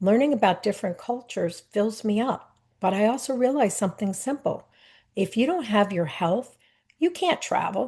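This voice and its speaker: With a quiet background, a woman speaks at a fairly high pitch in a somewhat breathy voice with lively intonation. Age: 60s. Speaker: wellness coach and travel advisor. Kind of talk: scripted narration.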